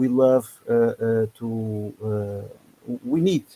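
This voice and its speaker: A man with a non-native accent speaks at a medium pitch in a dark, mellow tone, the sound dry and close with no echo. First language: not English. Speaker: business and course creator coach. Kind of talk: webinar presentation. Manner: halting, many fillers.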